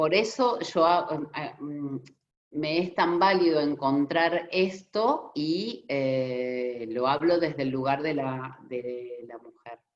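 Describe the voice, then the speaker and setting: The delivery is very slow with lively intonation. Loudness swings widely throughout. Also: woman, very deep, low pitch for a woman. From Argentina. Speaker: storyteller and puppet theatre researcher. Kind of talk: conference talk. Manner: hesitant, searching for words.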